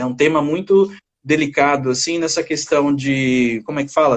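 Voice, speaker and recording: A man speaks at a fairly slow pace in a fairly high voice. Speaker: psychologist. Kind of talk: casual chat. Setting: video call. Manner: halting.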